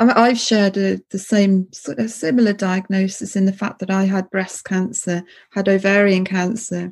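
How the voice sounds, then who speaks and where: A woman speaks at a fairly slow pace in a somewhat breathy, medium-pitched voice, recorded very cleanly against a silent background. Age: 50s. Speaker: podcast host, former palliative care nurse. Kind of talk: interview.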